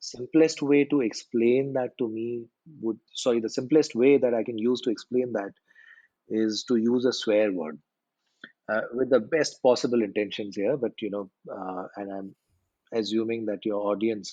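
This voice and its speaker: A man's medium-pitched voice in an Indian accent, with a dark, mellow tone, ordinary pitch variation and a moderate pace. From India, small town. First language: Hindi. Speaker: storytelling coach. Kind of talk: podcast interview.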